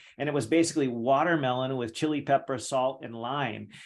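An enthusiastic-sounding man at a fairly quick pace. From California. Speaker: podcast host. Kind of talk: interview podcast. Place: home room. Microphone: studio mic.

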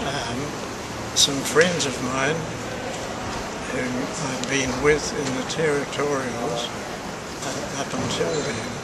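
Over loud background noise, a man talks at a very slow pace, with long, frequent pauses. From New Zealand. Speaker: war veteran. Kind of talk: interview answer. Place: hall.

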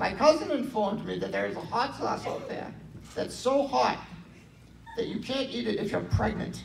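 At a moderate pace, a man speaks over noticeable background noise. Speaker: stand-up comedian. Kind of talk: stand-up comedy set with audience laughter. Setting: stage with audience. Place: hall.

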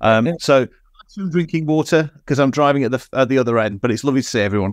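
The background stays quiet. A man speaks very fast, with ordinary pitch variation. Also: dry sound with no echo. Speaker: panelist. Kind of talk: casual call chat. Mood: joking, light-hearted. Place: home room. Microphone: video call.

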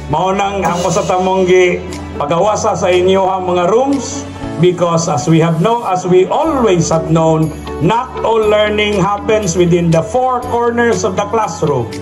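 Clear music plays in the background as a man with a high voice speaks at a moderate pace, with very even loudness and ordinary pitch variation. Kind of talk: speech. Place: stage. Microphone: handheld.

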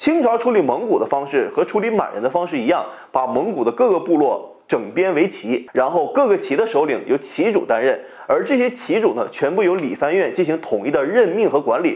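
A man talks at a fairly quick pace with hardly any pauses. The background is quiet. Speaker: history channel host. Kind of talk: educational commentary. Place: home room. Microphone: lapel.

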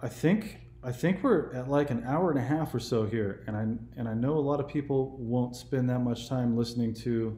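A man with an American accent has a dark, mellow, somewhat breathy tone. His pitch variation is ordinary, and there is audible room echo. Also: medium pitch for a man, moderate pace. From California. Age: 40s. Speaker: YouTube political commentator; interview guest or host. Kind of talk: casual chat. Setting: phone call. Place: home room. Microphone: webcam.

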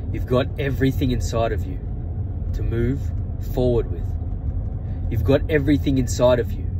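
Amid noticeable background noise, a man speaks with very wide pitch swings. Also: moderate pace. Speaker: motivational vlogger. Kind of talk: motivational monologue. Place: car. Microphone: earbuds.

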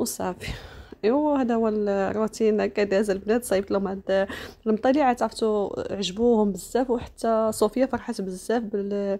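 A woman at a fairly high pitch, dark, mellow tone, moderate pace, fairly even intonation and very even loudness. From Morocco. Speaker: lifestyle vlogger. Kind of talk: casual vlog narration. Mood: warm, offering blessings. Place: home room. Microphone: phone near.

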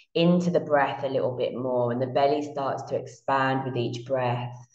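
The room echo is audible. The background stays quiet. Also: woman. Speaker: meditation guide. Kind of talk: guided meditation. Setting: online class recorded from Bali, shared screen. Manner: slow, soothing, calm and hypnotic, with long drawn-out repetition. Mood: calm, soothing, slow.

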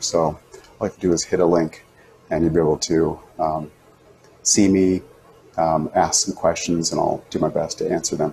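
Music plays in the background as a man with a very deep, low voice speaks at a fairly quick pace with fairly even intonation. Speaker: teacher. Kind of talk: casual tutorial chat. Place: home room. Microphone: lapel.

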